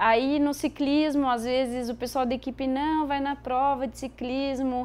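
A woman's voice sits high in pitch. The recording is very clean, with a silent background. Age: 30s. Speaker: elite cyclist and veterinarian. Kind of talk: interview.

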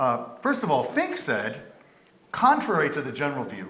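Audible room echo surrounds a man speaking at a fairly quick pace in a fairly high voice with a bright, sharp tone. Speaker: moderator; panel moderator. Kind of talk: panel discussion. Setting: stage with audience. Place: hall.

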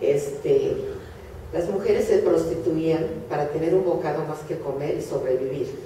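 A woman speaks at a fairly slow pace. Her voice has audible room echo over light background noise. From Hungary (Budapest). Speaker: Holocaust survivor speaker. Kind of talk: lecture. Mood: solemn, grave. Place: hall. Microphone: camera far.

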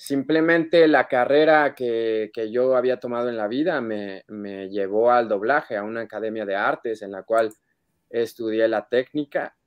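Over a quiet background, a man talks at a fairly slow pace. His pitch varies in an ordinary way. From Mexico City. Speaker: voice actor. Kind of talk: interview. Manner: halting. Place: home room. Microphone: video call.

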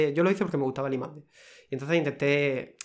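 A man's fairly high-pitched voice at a very fast pace, with ordinary pitch variation. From Cartagena, Murcia, Spain; Murcia, Spain. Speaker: food quality technician; guest. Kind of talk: casual interview. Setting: studio, in person. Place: office. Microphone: studio mic.

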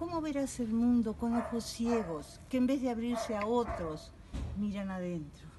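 Lively intonation marks a woman's fairly high voice at a very slow pace. Noticeable background noise is present. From Uruguay. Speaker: poet. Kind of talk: poetry reading. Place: garden. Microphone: phone near.

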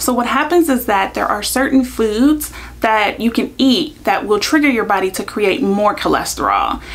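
A woman speaks in an ordinary speaking voice, pitched fairly high, with lively intonation. She keeps a moderate pace and hardly pauses at all. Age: 30s. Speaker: YouTuber and lawyer; YouTuber, lawyer. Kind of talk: vlog explainer. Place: home room.

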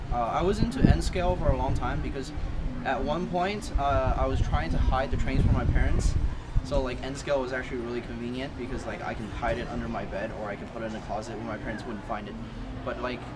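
A man speaks at a very fast pace over music in the background. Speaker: interviewee. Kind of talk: interview answer. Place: street.

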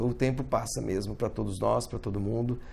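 There is vocal fry in this man's voice. He talks at a fairly quick pace. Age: 50s. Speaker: motorsport journalist; sports journalist. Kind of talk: video commentary monologue. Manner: halting with many fillers. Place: home room. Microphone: phone near.

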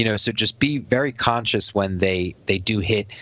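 In a New Jersey accent, a man speaks at a moderate pace. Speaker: card game podcast host. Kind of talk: casual chat.

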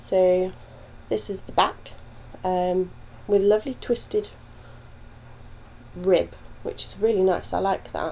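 With a British accent, a woman speaks at a fairly slow pace, leaving long, frequent pauses amid big swings in loudness. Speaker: knitting podcaster. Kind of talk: casual talk to camera.

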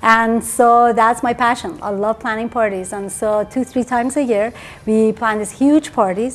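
A woman with a Persian accent talks at a moderate pace with hardly any pauses. Her fairly high voice keeps a fairly even intonation. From Iran. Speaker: dentist; interviewee. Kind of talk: TV interview. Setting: at her home. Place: home room. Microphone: lapel.

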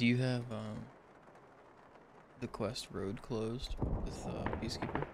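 Amid noticeable background noise and audible room echo, a man with a medium pitch talks at a fairly slow pace in a monotone, flat intonation, leaving long, frequent pauses. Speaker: gamer. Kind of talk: casual chat.

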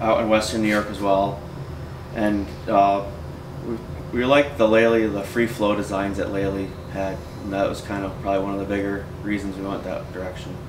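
Through noticeable background noise, a man with a fairly low pitch speaks at a moderate pace. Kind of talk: interview answer. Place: office.

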